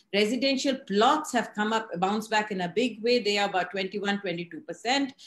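Audible room echo surrounds a woman with a fairly high pitch. She keeps a moderate pace with ordinary pitch variation. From India. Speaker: real estate editor and show host. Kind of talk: interview. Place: home room. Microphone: video call.

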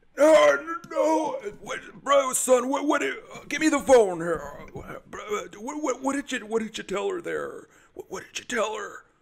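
A man puts on a character voice with an extremely high pitch. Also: moderate pace. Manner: hesitant, rambling.

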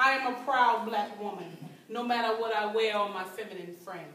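A woman speaks in an American accent at a moderate pace. Audible room echo surrounds her voice. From United States. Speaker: performance poet. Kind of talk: live spoken word poetry performance. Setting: live event room, amateur recording. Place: hall. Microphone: camera far.

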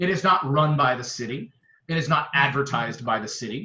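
A man talks at a fairly quick pace in a fairly high voice. The tone is bright and sharp, with ordinary pitch variation. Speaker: mayor. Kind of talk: heated debate. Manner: loud; animated.

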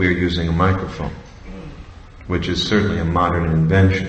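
The room's echo is audible. It surrounds the voice of a male speaker. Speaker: religious teacher. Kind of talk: lecture. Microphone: podium.

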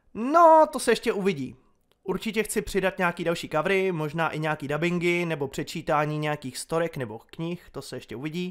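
Lively in intonation, a man speaks at a moderate pace in a high pitch. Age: 20s. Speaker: YouTuber. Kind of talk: casual Q&A monologue.

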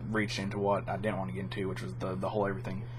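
A man with very wide pitch swings, over noticeable background noise. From Kentucky. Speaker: gaming YouTuber. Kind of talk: vlog monologue. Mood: calm, opinionated. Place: home room. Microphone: webcam.

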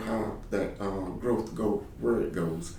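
There is audible room echo and noticeable background noise. A man speaks at a fairly low pitch. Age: 50s. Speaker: political candidate. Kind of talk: candidate interview answers. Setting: office. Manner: halting, many repeated words.

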